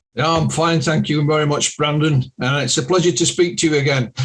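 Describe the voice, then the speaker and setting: This man talks fairly quickly, his voice pitched fairly high and his intonation fairly even. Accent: Yorkshire. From Yorkshire, northern England. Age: 60s. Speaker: UFO researcher and author. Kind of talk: podcast interview.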